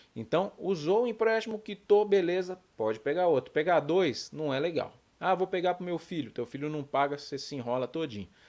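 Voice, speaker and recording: At a fairly quick pace with hardly any pauses, a man with a high pitch speaks with lively intonation. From Brazil. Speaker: youtuber on payroll loans, journalist. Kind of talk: youtube tutorial. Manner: animated. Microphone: webcam.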